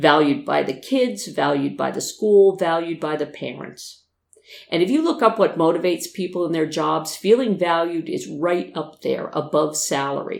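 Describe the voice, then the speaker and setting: An American accent comes through at a moderate pace. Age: 60s. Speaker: podcast host, retired teacher. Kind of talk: scripted podcast monologue.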